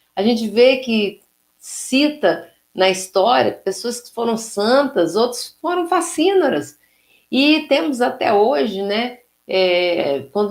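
A woman's fairly high voice at a very slow pace, with very wide pitch swings and big swings in loudness. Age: 50s. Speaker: spiritist lecturer. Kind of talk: religious lecture.

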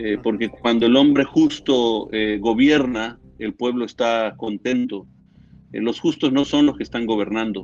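This man has a medium pitch and fairly even intonation. He speaks at a fairly slow pace. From Latin America, moved every few years (El Salvador, Nicaragua, Mexico City). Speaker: politician and pastor. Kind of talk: interview. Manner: halting.

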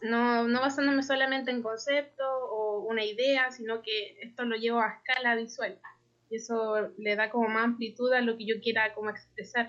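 This woman talks at a moderate pace in a fairly high pitch, her intonation flat and monotone. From Chile. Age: 20s. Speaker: graphic designer. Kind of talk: casual interview.

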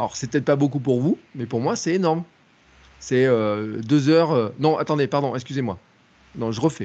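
Moderate pace with long, frequent pauses and ordinary pitch variation. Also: man, medium pitch for a man. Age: 40s. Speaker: content creator. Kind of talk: casual chat.

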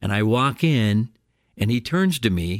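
This recording is very clean, its background silent. The man's pitch moves in very wide swings. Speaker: podcast host and radio comedian. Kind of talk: newsreader parody, mock-serious funeral report with a punchline sign-off. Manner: upbeat, energetic ad-style patter.

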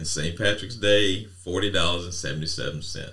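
A man's voice has a bright, sharp tone and audible room echo. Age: 50s. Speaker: podcast co-host. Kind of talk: casual chat.

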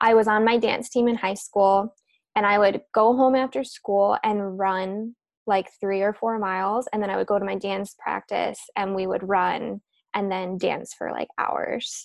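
An unremarkable speaking voice from a woman with an American accent, medium in pitch, with fairly even intonation. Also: fairly slow pace. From US Midwest, Chicago suburbs. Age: 20s. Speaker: self-love and mindset coach. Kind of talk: casual interview.

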